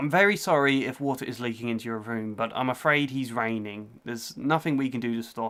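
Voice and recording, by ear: The text is read out loud. The delivery sounds natural.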